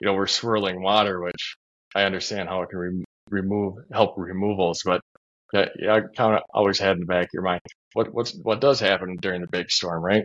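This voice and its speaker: In an American accent, a man with an unremarkable speaking voice talks fairly quickly at a fairly low pitch with fairly even intonation, the sound dry and close with no echo. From Minnesota. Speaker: stormwater engineer and company CEO. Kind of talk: casual interview.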